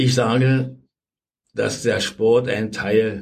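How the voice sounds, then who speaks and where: Somewhat breathy, a man's voice comes through. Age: 80s+. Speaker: former football club official. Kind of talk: interview.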